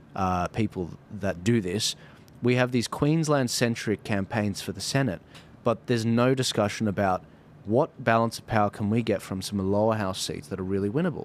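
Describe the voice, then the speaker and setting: With an Australian accent, a man speaks at a moderate pace. His pitch is fairly low with ordinary pitch variation. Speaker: podcast host. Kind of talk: political interview chat. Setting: studio.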